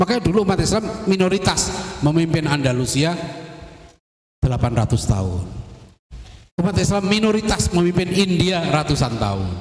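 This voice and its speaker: A high-pitched man talks at a fairly quick pace in an animated tone with lively intonation and very even loudness, leaving long, frequent pauses amid audible room echo. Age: 50s. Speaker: Islamic preacher. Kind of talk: religious lecture.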